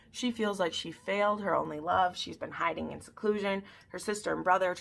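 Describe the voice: The passage gets a plain reading aloud. Its pitch shifts in an ordinary way.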